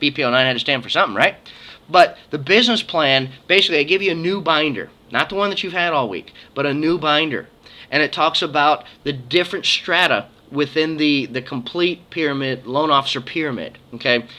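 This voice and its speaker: This man's tone is bright and sharp, and his pitch varies in an ordinary way. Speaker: mortgage loan officer giving conference recap. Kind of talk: casual video update. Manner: fast; animated.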